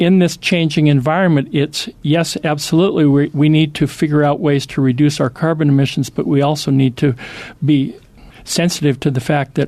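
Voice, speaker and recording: A man has a normal speaking voice at a fairly high pitch. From US Pacific Northwest. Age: 60s. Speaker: former magazine editor, lecturer. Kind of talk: interview.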